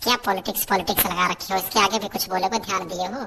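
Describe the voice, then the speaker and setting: A woman puts on a cartoonish character voice. Her medium pitch stays on fairly even intonation. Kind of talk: comic cartoon acting. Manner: scolding, sarcastic.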